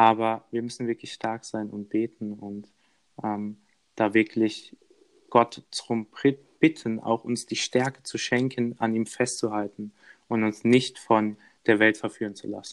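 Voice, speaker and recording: A man talks at a fairly slow pace in a medium pitch, with long, frequent pauses and big swings in loudness. His intonation is monotone and flat, and the sound is dry and close with no echo. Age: 20s. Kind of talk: casual interview.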